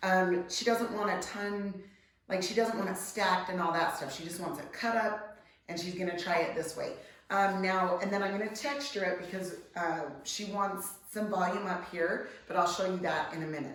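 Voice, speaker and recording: Amid noticeable background noise and audible room echo, a woman at a medium pitch talks at a moderate pace with fairly even intonation. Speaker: hairstylist. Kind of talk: tutorial. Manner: casual, hesitant with many fillers.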